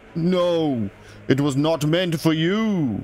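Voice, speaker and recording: A man performs a put-on character voice that is fairly high in pitch. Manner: ominous.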